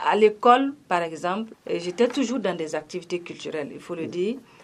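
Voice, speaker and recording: Lively intonation runs through a woman's speech at a moderate pace. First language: Gourmantché (speaking French). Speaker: singer and actress. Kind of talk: radio interview.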